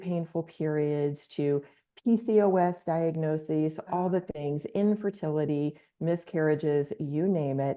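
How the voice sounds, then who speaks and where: A woman with a very deep, low voice speaks at a fairly slow pace with ordinary pitch variation. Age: 60s. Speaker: wellness practitioner. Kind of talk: interview podcast.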